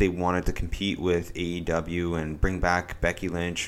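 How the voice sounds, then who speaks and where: Here a man is talking. His voice sits very deep and low. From Canada. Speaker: wrestling podcast co-host. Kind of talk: casual chat. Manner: animated, gets worked up.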